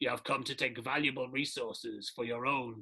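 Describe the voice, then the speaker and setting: Using a put-on character voice, a man speaks at a moderate pace with a medium pitch. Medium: solo performance. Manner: menacing.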